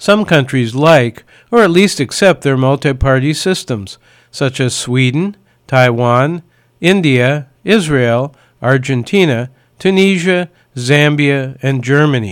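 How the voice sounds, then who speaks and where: Recorded very cleanly over a silent background, a man with an American accent and a fairly high pitch speaks at a very slow pace with lively intonation. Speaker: radio commentator. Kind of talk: scripted commentary.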